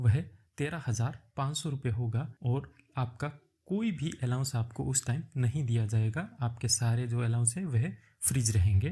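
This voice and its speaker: There is ordinary pitch variation as a man speaks at a medium pitch in a dark, mellow, somewhat breathy tone. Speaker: YouTube job-prep tutor. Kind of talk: tutorial.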